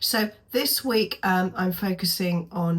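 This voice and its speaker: With a British accent, a woman speaks at a medium pitch with ordinary pitch variation. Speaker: sewing pattern reviewer. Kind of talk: casual tutorial review. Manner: hesitant, many ums.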